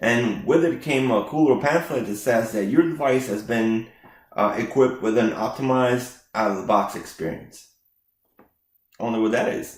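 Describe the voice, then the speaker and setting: A man with a non-native accent speaks at medium pitch. His pace is moderate and his pitch varies in an ordinary way. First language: not English. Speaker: IT consultant. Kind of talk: tech tutorial with live demo. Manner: casual, with frequent fillers.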